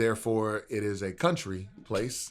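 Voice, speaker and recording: In a very clean recording with a silent background, a man with an American accent speaks in an animated tone. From Texas, raised near Houston. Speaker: rapper. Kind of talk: casual interview chat. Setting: studio.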